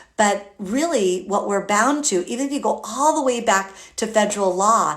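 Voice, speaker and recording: A woman's animated, medium-pitched voice at a moderate pace, with ordinary pitch variation and noticeable background noise. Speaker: early childhood education consultant. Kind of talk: live stream talk to viewers. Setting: live video broadcast. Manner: animated, hesitant fillers.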